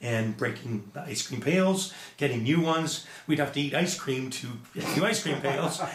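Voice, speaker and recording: Amid noticeable background noise and audible room echo, a man with a Canadian accent speaks at a moderate pace and a fairly high pitch. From Edmonton, Alberta, Canada. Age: 60s. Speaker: musician and business owner. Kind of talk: casual interview chat.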